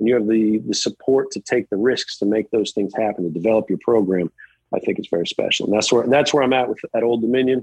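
At a very fast pace, a man speaks with a medium pitch and ordinary pitch variation in a dry, close sound with no echo. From Virginia, US (just west of Charlottesville). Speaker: college tennis head coach. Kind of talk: interview.

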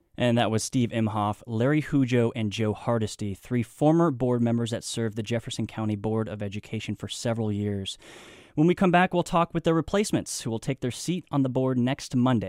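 Speaking fairly quickly in an ordinary speaking voice, a man of medium pitch uses ordinary pitch variation, and the sound is dry and close with no echo. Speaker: radio host. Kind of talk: radio call-in interview. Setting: studio.

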